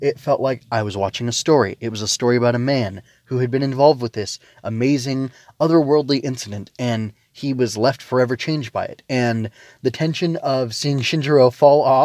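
An ordinary speaking voice at a fairly quick pace with ordinary pitch variation, dry and close with no echo, on a very clean recording with a silent background. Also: man, medium pitch for a man. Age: 30s. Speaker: anime review podcaster. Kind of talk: solo review monologue. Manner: casual with many fillers.

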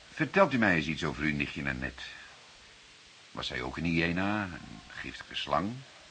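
A man puts on a character voice with an extremely low pitch and a bright, sharp tone. His pitch swings widely as he speaks at a moderate pace.

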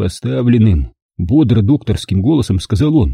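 Someone reading aloud in a natural voice, with a quiet background

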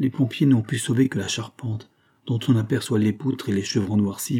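Someone is reading aloud in a natural voice. The text is read through in that manner.

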